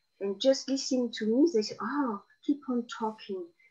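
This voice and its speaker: With a strong southern French accent, a woman talks at a moderate pace with lively intonation. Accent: South of France accent, strong. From southern France (Marseille, Provence). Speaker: guest speaker on Provence. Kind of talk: interview conversation. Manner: hesitant, many fillers.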